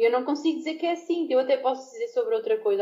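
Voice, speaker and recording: A woman talks very fast in a high voice with very wide pitch swings. Noticeable background noise sits behind her. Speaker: former podcast co-host returning as guest. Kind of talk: casual debate among friends.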